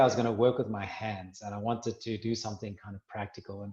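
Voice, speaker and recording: A man speaks with a South African accent. His delivery is fairly quick and his intonation monotone and flat. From South Africa, Cape Town. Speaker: minerals industry representative, former mining lecturer. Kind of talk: interview.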